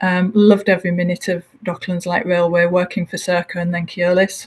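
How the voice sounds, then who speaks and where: Fairly quick, somewhat breathy speech with a Hull accent. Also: woman. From northern England, Hull. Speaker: transport executive. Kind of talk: interview. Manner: hesitant fillers.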